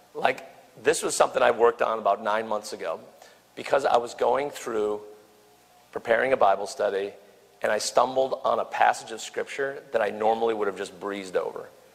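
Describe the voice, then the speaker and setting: A man talks fairly quickly while noticeable background noise runs beneath him. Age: 50s. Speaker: campus minister / preacher. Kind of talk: sermon. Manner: halting.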